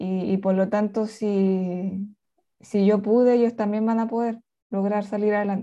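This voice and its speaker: Fairly slow, monotone, flat speech from a woman at a medium pitch, dark and mellow in tone. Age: 30s. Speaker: author. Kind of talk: interview.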